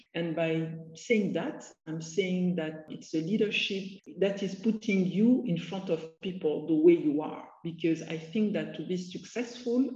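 Audible room echo surrounds a woman's somewhat breathy, dark, mellow voice, which has a medium pitch, ordinary pitch variation and a moderate pace. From Cote d'Ivoire. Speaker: energy executive. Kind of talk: interview.

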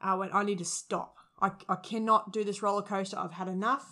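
A woman with an Australian accent speaks at a fairly quick pace and medium pitch. Her tone is bright and sharp, and her intonation fairly even. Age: 30s. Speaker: former high school teacher and youth worker. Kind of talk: interview.

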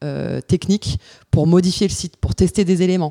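Her tone is dark and mellow. This woman speaks at a fairly low pitch. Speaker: tech startup founder and CEO. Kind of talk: interview. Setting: office.

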